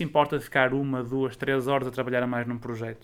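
A man talks at a very fast pace. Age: 20s. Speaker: student association president. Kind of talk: interview. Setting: online audio interview.

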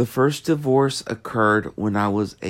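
A man speaks with an American accent. His pitch is fairly low, with ordinary variation. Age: 30s. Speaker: podcast host. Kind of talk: personal monologue. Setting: home bedroom. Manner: halting, many fillers.

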